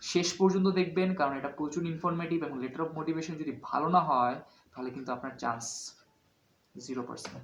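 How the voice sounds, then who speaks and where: Here a man speaks at a fairly high pitch and a fairly quick pace. His pitch varies in an ordinary way. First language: Bengali. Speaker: student vlogger. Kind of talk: vlog tutorial. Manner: halting with many fillers.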